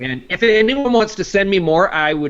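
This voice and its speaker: With a slight Canadian accent, a man talks at a moderate pace, his pitch swinging very widely. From Canada, Vancouver. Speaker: video show producer. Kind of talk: casual interview.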